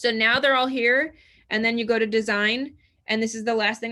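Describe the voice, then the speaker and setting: On a very clean recording with a silent background, a woman with a fairly high pitch speaks in an animated tone that is bright and sharp. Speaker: real estate trainer. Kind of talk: tutorial. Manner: fast.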